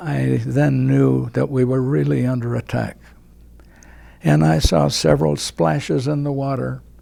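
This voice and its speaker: A man with an American accent speaks in a very deep, low pitch and a dark, mellow tone. His pitch swings very widely at a fairly slow pace. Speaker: war veteran. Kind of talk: interview answer.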